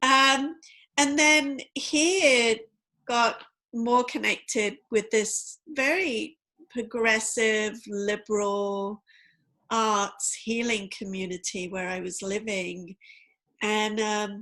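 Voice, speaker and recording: On a very clean recording with a silent background, a woman with a London accent speaks very slowly, her bright, sharp tone sitting at a fairly high pitch with ordinary pitch variation. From England, East End of London. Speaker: tarot and oracle card reader. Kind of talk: interview conversation.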